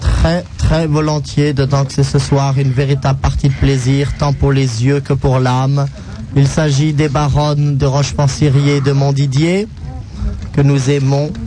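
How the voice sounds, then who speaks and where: A man's fairly high voice at a very slow pace, with fairly even intonation, very even loudness, audible room echo and noticeable background noise. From France, aristocratic family. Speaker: radio co-host. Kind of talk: casual radio banter. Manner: formal, refined.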